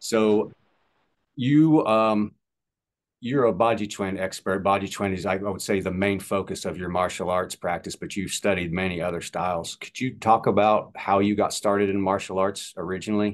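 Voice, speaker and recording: A man with a plain, everyday voice speaks at a moderate pace and a fairly low pitch. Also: ordinary pitch variation. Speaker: podcast host. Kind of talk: interview. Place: home room. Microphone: video call.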